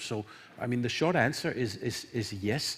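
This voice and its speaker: Somewhat breathy, a man talks at a moderate pace. The recording is very clean, with a silent background. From Denmark. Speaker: energy industry panelist. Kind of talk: panel discussion. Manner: halting, many repetitions.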